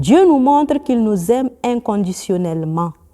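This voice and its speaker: Using a plain, everyday voice, a woman speaks at a medium pitch with lively intonation. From Burkina Faso. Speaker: nun. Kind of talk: religious teaching. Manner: formal.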